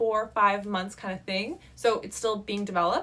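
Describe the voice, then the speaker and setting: This woman's voice sits fairly high in pitch and has a bright, sharp tone. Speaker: app developer and video creator. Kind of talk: casual vlog talk to camera. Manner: fast.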